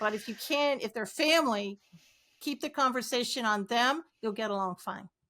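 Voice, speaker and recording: A woman speaks at a moderate pace in a high pitch, with ordinary pitch variation and an animated, bright, sharp tone. The recording is very clean with a silent background. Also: big swings in loudness. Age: 60s. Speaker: author and concierge trainer. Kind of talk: casual interview chat.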